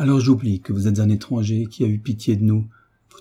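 What you hear is a natural reading voice.

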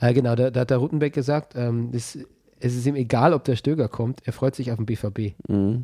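In a very clean recording with a silent background, a man with a medium pitch and a dark, mellow tone talks at a fairly quick pace with fairly even intonation and a dry, close sound with no echo. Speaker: football podcast host. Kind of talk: casual chat.

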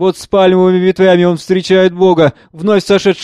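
A natural voice reading aloud

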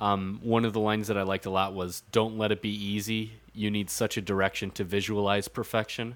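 Fairly quick speech with hardly any pauses in a very clean recording with a silent background. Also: man, fairly low pitch for a man. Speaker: podcast co-host. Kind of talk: casual chat. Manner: animated, casual, profane.

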